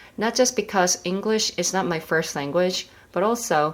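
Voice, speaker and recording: Speaking at a moderate pace, a woman uses a medium pitch with ordinary pitch variation. She has a Korean accent. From South Korea. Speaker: medical resident and educational YouTuber. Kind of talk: tutorial.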